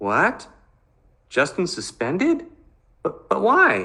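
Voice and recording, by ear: A man's put-on character voice, high-pitched and bright, sharp in tone, with vocal fry, very wide pitch swings, a very slow pace and audible room echo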